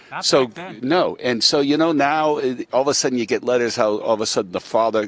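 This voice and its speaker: The speech runs at a very fast pace in a dry sound with no echo. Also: man. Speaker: guest. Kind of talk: interview answer. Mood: emotional, reflective. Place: stadium. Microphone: handheld.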